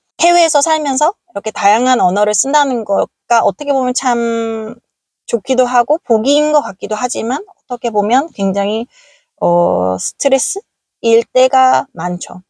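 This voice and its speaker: Dry and close with no echo, a woman's voice moves at a moderate pace with lively intonation. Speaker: vlogger. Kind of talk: casual vlog talk. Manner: hesitant, many fillers.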